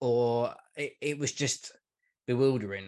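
A man talks against a quiet background. His pitch moves in an ordinary way. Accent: London. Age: 40s. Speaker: football podcaster. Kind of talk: casual chat.

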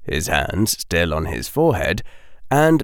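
Natural reading voice, nothing more

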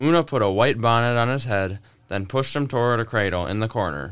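In a very clean recording with a silent background, a man talks at medium pitch with a fairly bright tone. His pace is fairly quick and his intonation lively.

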